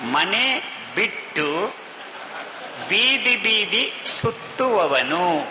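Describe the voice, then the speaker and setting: Speaking in a Kannada accent at a high pitch, a man swings his pitch very widely, with audible room echo and noticeable background noise. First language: Kannada (speaking Hindi). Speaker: senior organization worker. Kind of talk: speech.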